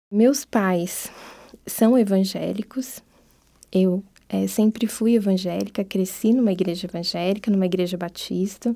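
A woman at a medium pitch with a dark, mellow tone, fairly even intonation, and a fairly slow pace. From Brazil, interior of São Paulo state (Piracicaba). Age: young. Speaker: anthropologist and university lecturer. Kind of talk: interview, life story.

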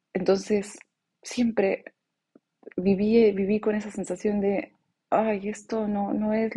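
A woman speaks very slowly in a medium pitch, her tone dark and mellow and somewhat breathy. Her intonation stays monotone and flat. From Bolivia (born in La Paz, moved around the world). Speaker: podcast host, mindfulness coach. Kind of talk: reflective monologue.

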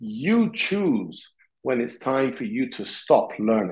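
His intonation stays lively. The man talks at a very slow pace. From Sicily, Italy. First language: Italian. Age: 40s. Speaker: martial arts instructor. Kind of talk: interview.

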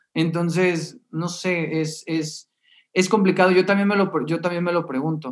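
The man's voice is pitched high and his intonation fairly even. He speaks at a fairly slow pace. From Mexicali, northern Mexico. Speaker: theatre YouTuber and reviewer. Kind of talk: casual chat.

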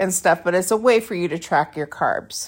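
An ordinary speaking voice with ordinary pitch variation, on a very clean recording with a silent background. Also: woman. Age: 50s. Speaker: podcast host and author. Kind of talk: solo monologue. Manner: casual with laughs.

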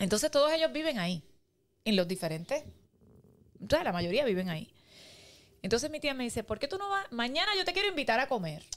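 A woman with a Cuban accent speaks at a fairly quick pace, her pitch high and swinging very widely. She leaves long, frequent pauses. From Cuba, Pinar del Río. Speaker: podcast guest, Cuban immigrant. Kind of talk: casual interview, personal story. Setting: studio.

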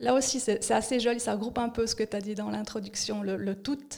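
A woman with an ordinary speaking voice keeps a moderate pace, her fairly high pitch carried on fairly even intonation. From Switzerland, Fribourg (bilingual). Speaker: communication and organisation consultant. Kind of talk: casual interview. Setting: studio at coworking space.

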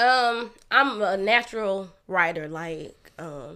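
Bright and sharp is the tone of this woman's voice. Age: 30s. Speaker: author and podcaster. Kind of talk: casual chat.

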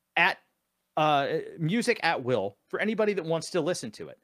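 With an American accent and vocal fry, the speaker's pitch swings very widely at a moderate pace, in a very clean recording with a silent background and a dry, close sound with no echo. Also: man. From Sacramento, California. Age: 30s. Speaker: musician and producer. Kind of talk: casual chat. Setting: live stream.

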